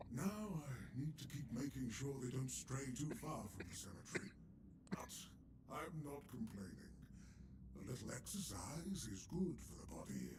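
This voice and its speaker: A man's put-on character voice at medium pitch, over loud background noise. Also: moderate pace. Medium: video game. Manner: chatty, wry.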